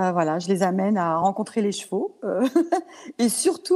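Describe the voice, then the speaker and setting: A woman with a dark, mellow tone talks at a fairly quick pace, her pitch swinging very widely. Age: 60s. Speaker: equine coach. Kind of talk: interview. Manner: hesitant, many fillers.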